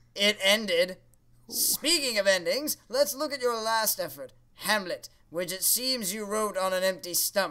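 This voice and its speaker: A man uses a cartoonish character voice, raised and projected with a high pitch. His intonation is lively and his pace moderate. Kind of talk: comedy puppet show dialogue. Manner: sarcastic, dismissive.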